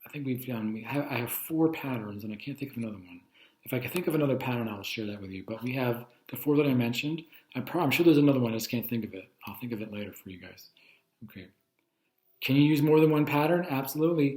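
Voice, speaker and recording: This man talks very fast. His volume rises and drops sharply. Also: medium pitch for a man, ordinary pitch variation. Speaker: teacher. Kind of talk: lecture. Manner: casual.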